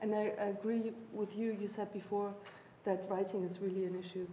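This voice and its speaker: A woman at medium pitch speaks at a moderate pace. Her intonation is monotone and flat, with noticeable background noise behind her. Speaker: university lecturer. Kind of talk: panel discussion. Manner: halting, many fillers.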